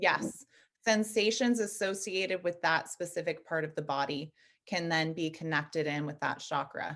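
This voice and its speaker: A woman with an ordinary speaking voice talks at a moderate pace and fairly low pitch against a quiet background. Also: ordinary pitch variation. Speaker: energy healing teacher and nutritionist. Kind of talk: interview.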